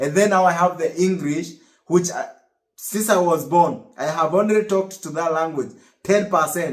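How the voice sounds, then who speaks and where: With a Kenyan accent, a man speaks high-pitched at a moderate pace with ordinary pitch variation. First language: Kikuyu. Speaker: US Navy service member and vlogger. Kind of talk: casual vlog monologue. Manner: halting, many repetitions.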